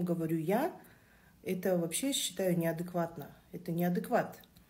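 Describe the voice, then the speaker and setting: A woman's somewhat breathy voice, dark and mellow in tone, moves at a moderate pace. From Kazakhstan. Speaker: social media commenter. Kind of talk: opinion monologue.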